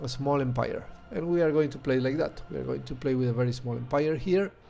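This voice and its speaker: Amid audible room echo and music in the background, a man speaks with a Spanish accent. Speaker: video game streamer. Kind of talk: gameplay commentary. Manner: hesitant, many fillers.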